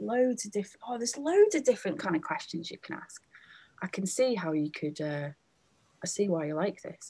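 A woman speaks in a somewhat breathy voice with a dark, mellow tone. Her pitch swings very widely, and her loudness swings a lot too. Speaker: event host and organiser. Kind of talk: hosting an online event. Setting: video call. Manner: animated, chatty. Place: home room. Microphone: webcam.

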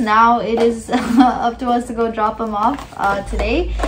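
A woman is speaking, and noticeable background noise can be heard around her. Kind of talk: casual vlog chat. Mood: warm, upbeat, some laughs. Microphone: camera far.

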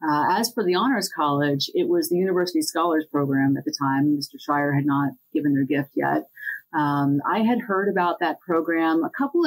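At a moderate pace, a woman with a fairly low pitch and a plain, everyday voice speaks in an American accent, with ordinary pitch variation and very even loudness. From central Pennsylvania. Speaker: corporate attorney. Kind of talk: podcast interview.

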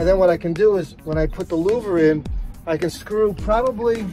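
The sound is dry with no echo, with faint music in the background. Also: man. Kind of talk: tutorial. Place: garden. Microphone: phone near.

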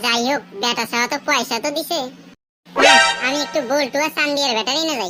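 With music playing in the background, a woman uses a cartoonish character voice at a fairly quick pace. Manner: chatty, colloquial.

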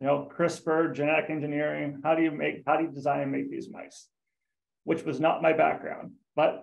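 Over a quiet background, a man speaks at a fairly quick pace with big swings in loudness. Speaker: guest. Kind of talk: career talk presentation. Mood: relaxed, friendly. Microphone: video call.

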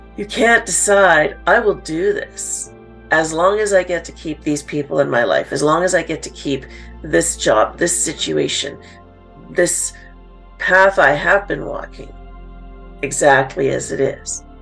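A woman speaks at a fairly slow pace with big swings in loudness. Faint music sits in the background. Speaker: podcast host, coach. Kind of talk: podcast monologue. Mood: calm, earnest.

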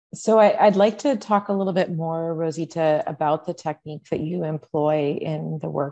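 A woman speaks at a fairly quick pace in a very deep, low voice with a dark, mellow tone and ordinary pitch variation. She hardly pauses at all, and the background is quiet. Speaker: art museum curator; moderator. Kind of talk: moderated interview. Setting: art gallery. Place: home room. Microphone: video call.

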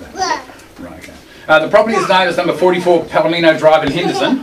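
Amid noticeable background noise, a man speaks at a very fast pace. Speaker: auctioneer. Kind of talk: property auction opening, reading conditions of sale. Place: office. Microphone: camera far.

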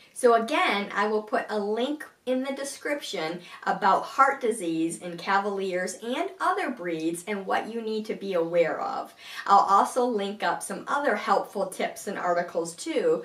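Talking at a fairly slow pace, a woman is heard with audible room echo. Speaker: blogger. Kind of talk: casual vlog chat. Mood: calm, warm, informative. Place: home room. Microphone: camera far.

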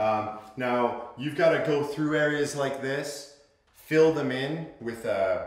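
A man at a fairly slow pace with ordinary pitch variation and audible room echo. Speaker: construction instructor. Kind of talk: tutorial. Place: home room.

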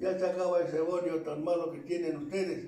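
There is audible room echo as a man talks fairly slowly, his high-pitched voice dark and mellow in tone. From Tlaxcala, Mexico. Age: 80s+. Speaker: elderly local narrator. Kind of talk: oral history interview answer. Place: home room. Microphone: camera far.

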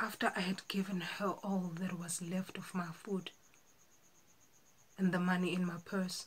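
A woman speaks at a medium pitch and a fairly slow pace. Her intonation is monotone and flat, broken by long, frequent pauses. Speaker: actor. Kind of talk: dramatic monologue audition. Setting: home self-recording. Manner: slow, emotional. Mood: earnest, emotional storytelling. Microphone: phone near.

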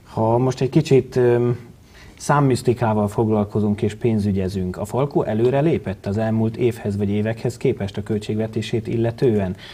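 Speaking at a moderate pace, a man has a dark, mellow tone, a somewhat breathy quality and fairly even intonation. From Hungary. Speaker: sports TV show host. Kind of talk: studio interview and news narration. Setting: TV studio. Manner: formal. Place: studio. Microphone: lapel.

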